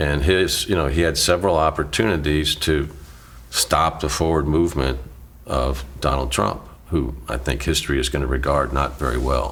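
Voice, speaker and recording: A man's very deep, low voice with ordinary pitch variation, over noticeable background noise. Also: moderate pace. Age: 60s. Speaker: former city mayor. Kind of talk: interview.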